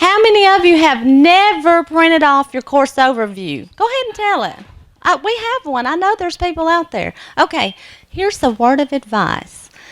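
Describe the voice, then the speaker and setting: A loud woman with a Southern US accent, extremely high in pitch, with very wide pitch swings. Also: moderate pace. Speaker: nursing instructor. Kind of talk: lecture.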